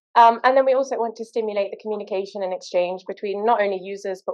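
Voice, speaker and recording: A woman speaks with a British accent. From Britain. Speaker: postdoctoral researcher, workshop co-host. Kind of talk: workshop introduction talk.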